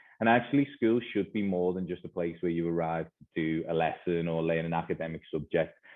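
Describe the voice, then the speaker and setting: Very deep and low in pitch, a man with a Liverpool accent talks at a very fast pace with ordinary pitch variation. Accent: Liverpool (Scouse). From northern England, Liverpool. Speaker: educator, school leader. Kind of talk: conference presentation.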